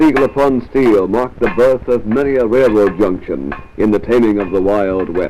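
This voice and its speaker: With ordinary pitch variation and a moderate speed, a man's voice sits over background music. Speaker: newsreel narrator. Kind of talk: mid-1950s promotional newsreel narration. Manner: authoritative, formal.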